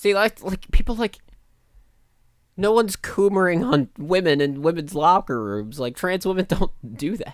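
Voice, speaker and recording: A man talks in a high pitch at a moderate pace. His intonation is lively. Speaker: streamer. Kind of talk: live stream commentary. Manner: casual, profane.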